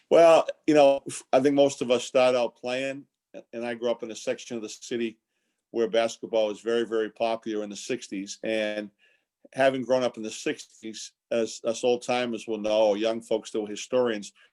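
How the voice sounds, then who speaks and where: A man's medium-pitched voice with a Boston accent, fairly even intonation and a moderate pace, in a dry, close sound with no echo. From Boston area, Massachusetts (Quincy). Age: 60s. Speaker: basketball coach and former team executive. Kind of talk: interview. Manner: repeats words often, restarts.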